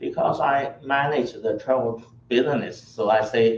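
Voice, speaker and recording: Speaking at a fairly slow pace, a man talks with a Chinese accent. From China. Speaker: tour operator. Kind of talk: travel orientation presentation.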